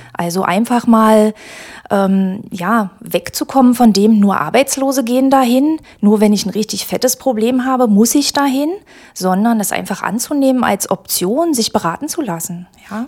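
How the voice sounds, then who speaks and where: A woman talks at a moderate pace in an ordinary speaking voice. Her pitch is fairly high, with ordinary pitch variation. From Magdeburg, eastern Germany. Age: 40s. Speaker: employment agency career adviser. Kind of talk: casual interview. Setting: studio.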